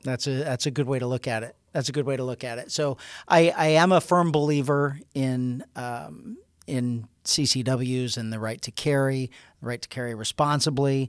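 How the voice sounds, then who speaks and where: A man with a normal speaking voice, medium in pitch, at a moderate pace with fairly even intonation, on a very clean recording over a silent background. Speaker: sheriff hosting department podcast. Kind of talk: interview-style podcast conversation.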